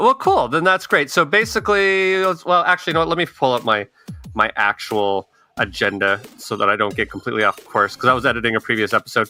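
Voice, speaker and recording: Over music in the background, a man talks very fast at a medium pitch with very wide pitch swings, in a dry, close sound with no echo. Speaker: podcast host. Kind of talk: casual chat.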